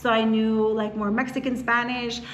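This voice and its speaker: There is noticeable background noise and audible room echo as a high-pitched woman talks at a fairly quick pace. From US, Philadelphia area. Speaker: real estate agent. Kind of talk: casual chat.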